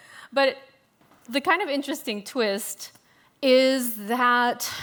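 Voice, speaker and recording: A woman's high-pitched voice. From US South, Louisiana (Shreveport). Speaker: food writer, moderator. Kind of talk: panel discussion.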